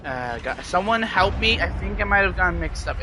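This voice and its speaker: A man speaks at a fairly quick pace. Audible room echo and noticeable background noise fill the recording. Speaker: gaming streamer. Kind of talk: casual live stream chat. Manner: halting.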